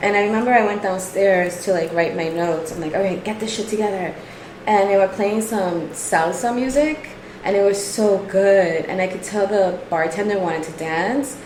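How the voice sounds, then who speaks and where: A woman with a Brooklyn accent speaks at medium pitch and a moderate pace, with ordinary pitch variation. There is noticeable background noise and audible room echo. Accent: New York (Brooklyn). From New York, Brooklyn. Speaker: stand-up comedian. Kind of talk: casual chat.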